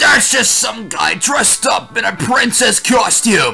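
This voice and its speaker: A loud, put-on character voice from a man at an extremely high pitch, at a fairly slow pace, with faint music in the background. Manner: shouting.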